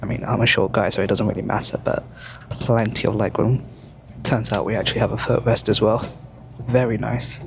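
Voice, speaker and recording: Speaking with a British accent, this man keeps a moderate pace. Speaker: travel vlogger. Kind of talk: travel vlog narration. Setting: on a train.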